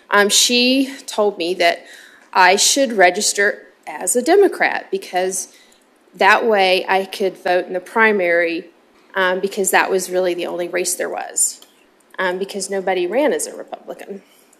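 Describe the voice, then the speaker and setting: A woman with a Southern US accent speaks at a moderate pace, her pitch medium and its variation ordinary. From US South. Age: 50s. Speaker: state legislator. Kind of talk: committee hearing remarks. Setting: legislative committee hearing. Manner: hesitant, many filler ums.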